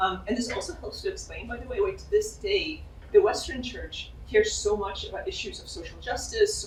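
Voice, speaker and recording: A woman speaks at a fairly quick pace. Room echo can be heard. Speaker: political science professor. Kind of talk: Q&A after a lecture. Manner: fast.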